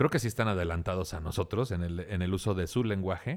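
On a very clean recording with a silent background, a man talks at a fairly quick pace in a very deep, low pitch with ordinary pitch variation. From Tampico, Tamaulipas, Mexico. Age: 40s. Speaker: comedian. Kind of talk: casual chat.

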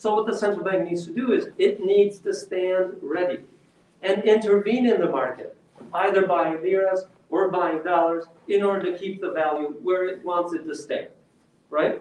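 A man speaks at a high pitch and a moderate pace, with fairly even intonation. Noticeable background noise runs behind him. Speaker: economist. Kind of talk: lecture. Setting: stage with audience.

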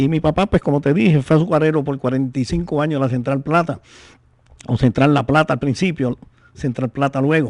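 A man talks in a normal speaking voice at a fairly high pitch and a moderate pace. The sound is dry and close with no echo, and his pitch varies in an ordinary way. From Puerto Rico, San Sebastián. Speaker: poet and author of décimas. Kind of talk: radio interview. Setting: radio studio.

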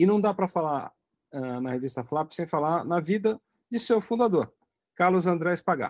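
Pausing long and often, a man with a high pitch speaks at a moderate pace with lively intonation, the sound dry and close with no echo on a very clean recording with a silent background. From Brazil, São Paulo. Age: 50s. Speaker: aviation journalist and magazine publisher. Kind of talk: casual interview, storytelling.

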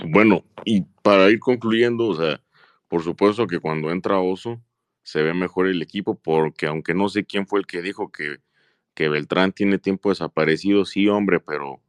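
A man speaks with a very deep, low pitch and fairly even intonation at a moderate pace. The sound is dry and close with no echo, over a quiet background. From Jalisco, Mexico. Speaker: football fan commentator. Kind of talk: casual chat.

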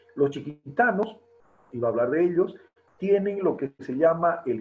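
A somewhat breathy male voice. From Bolivia, Beni and La Paz. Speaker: poet and writer. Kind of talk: interview.

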